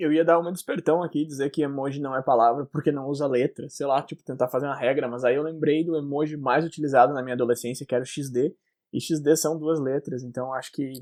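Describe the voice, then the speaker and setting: Pitched fairly high, the man talks at a very fast pace with hardly any pauses. His intonation stays fairly even. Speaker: podcast co-host. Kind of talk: casual chat. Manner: swallows words.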